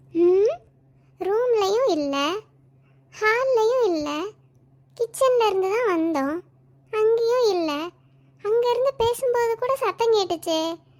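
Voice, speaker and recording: A cartoonish character voice from a woman, extremely high in pitch, very slow, with lively intonation. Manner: loud, dramatic.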